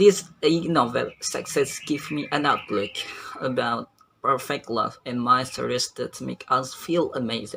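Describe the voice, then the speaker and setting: A man with an Indonesian accent talks at a fairly slow pace. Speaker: university student. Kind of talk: book review. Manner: halting.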